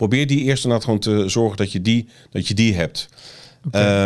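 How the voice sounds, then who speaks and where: A man's voice with ordinary pitch variation, in a very clean recording over a silent background. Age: 50s. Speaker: marketing agency founder. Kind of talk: interview. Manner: halting.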